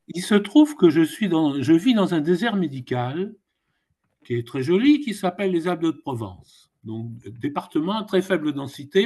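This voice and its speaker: A man speaks at a moderate pace with a high voice that swings very widely in pitch. His tone is dark and mellow, and the background is quiet. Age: 70s. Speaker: elected mutual insurance member, participant. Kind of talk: audience question.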